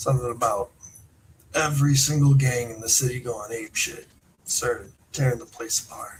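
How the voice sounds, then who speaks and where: A man puts on a raspy character voice at medium pitch. He keeps a moderate pace with big swings in loudness. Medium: actual play. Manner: casual, friendly.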